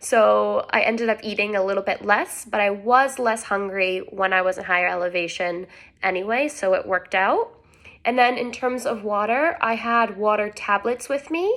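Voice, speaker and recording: In a very clean recording with a silent background, a woman with an ordinary speaking voice talks at a moderate pace with a fairly high pitch and ordinary pitch variation. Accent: American. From United States. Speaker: travel vlogger. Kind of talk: casual tutorial. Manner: casual, filler-heavy.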